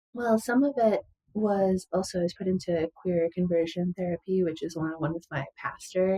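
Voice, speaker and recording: Somewhat breathy and dark, mellow in tone, a woman speaks at a moderate pace with ordinary pitch variation, in a dry, close sound with no echo. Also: medium pitch for a woman. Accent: American. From US Midwest, western Wisconsin. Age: 40s. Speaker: musician and former data analyst. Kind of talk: interview testimony. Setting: podcast interview.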